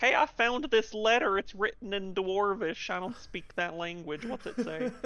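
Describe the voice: Someone puts on a character voice at a fairly high pitch and a moderate pace.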